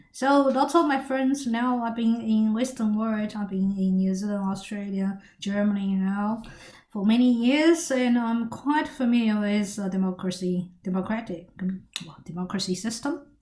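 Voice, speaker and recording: Her pitch is fairly high, with ordinary variation and a dark, mellow tone. The woman sounds somewhat breathy and keeps a moderate pace. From China. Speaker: political commentator. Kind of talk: monologue commentary. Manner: halting.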